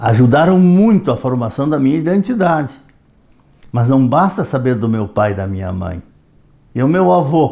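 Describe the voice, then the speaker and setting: Speaking at a medium pitch with a dark, mellow tone, a man moves at a moderate pace with very wide pitch swings and long, frequent pauses. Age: 80s+. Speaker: retired history educator. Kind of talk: reflective monologue.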